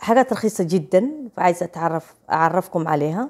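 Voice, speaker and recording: With an Egyptian accent, a woman speaks at a fairly slow pace in a fairly low pitch, her tone dark and mellow with ordinary pitch variation, over a quiet background. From Saudi Arabia, Somali family. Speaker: vlogger. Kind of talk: casual vlog chat. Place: home room. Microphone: lapel.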